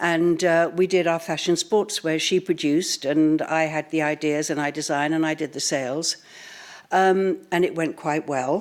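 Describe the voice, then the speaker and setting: In a British accent, a woman talks at a moderate pace with fairly even intonation and a fairly low pitch. The background is silent in this very clean recording. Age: 70s. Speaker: fashion entrepreneur. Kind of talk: conference talk. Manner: hesitant, frequent ums.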